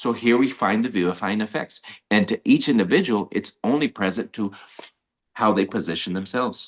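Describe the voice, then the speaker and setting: Against a quiet background, a man talks at a medium pitch. He moves at a fairly quick pace with lively intonation. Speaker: life coach. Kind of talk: motivational teaching talk. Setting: live stream. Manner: fast.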